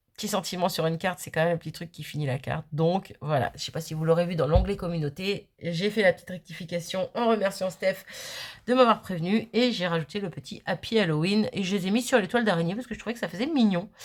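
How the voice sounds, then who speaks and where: Medium pitch, ordinary pitch variation and a very fast pace from a woman. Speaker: crafting youtuber. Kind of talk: casual chat. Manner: hesitant, many fillers.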